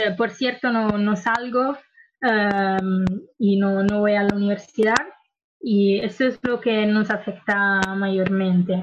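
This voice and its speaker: Somewhat breathy and in an Italian accent, this voice moves at a very slow pace with fairly even intonation. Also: woman, medium pitch for a woman. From Italy, Lombardy (Milan). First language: Italian (speaking Spanish). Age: 20s. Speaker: engineering student and activist. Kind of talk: interview. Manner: halting, many fillers.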